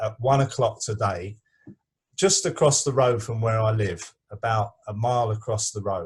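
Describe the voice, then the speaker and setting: The man speaks at a fairly slow pace, somewhat breathy, with medium pitch. His pitch varies in an ordinary way against a quiet background. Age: 60s. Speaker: activist. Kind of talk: online discussion. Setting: video call. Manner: halting.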